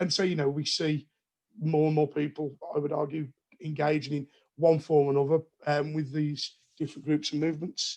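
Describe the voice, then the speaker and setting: Fairly high-pitched and flat in a monotone, a man talks at a fairly quick pace in a West Midlands accent. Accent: Wolverhampton. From Wolverhampton, English West Midlands. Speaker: politics researcher. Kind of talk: academic conversation. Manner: repetitive, stumbling.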